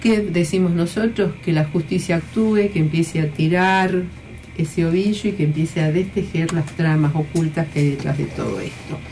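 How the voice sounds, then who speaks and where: A woman's fairly low voice at a moderate pace, with fairly even intonation, over noticeable background noise. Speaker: radio host, former education minister. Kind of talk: radio talk show. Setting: radio studio.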